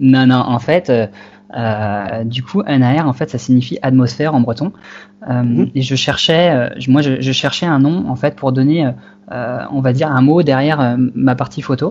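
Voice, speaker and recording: A man talks at a fairly slow pace. His medium pitch shows ordinary pitch variation. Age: 20s. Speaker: wildlife photographer. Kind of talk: interview. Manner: halting.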